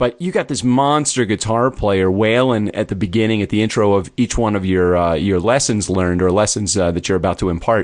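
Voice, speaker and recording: An ordinary speaking voice from a man, fairly low in pitch, with an American accent, fairly quick with hardly any pauses, ordinary pitch variation, quiet background. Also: very even loudness. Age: 50s. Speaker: podcast host. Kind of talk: interview.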